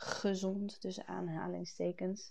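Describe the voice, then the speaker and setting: Here a woman speaks. Her pace is very slow. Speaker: grief coach and podcast host. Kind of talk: solo podcast monologue. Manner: halting, many filler sounds; rambling, loses thread at times.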